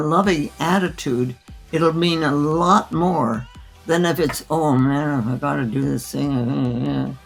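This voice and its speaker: A woman speaks very slowly with a very deep, low pitch and ordinary pitch variation. Music plays in the background. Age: 80s+. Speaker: physician. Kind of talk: interview answer.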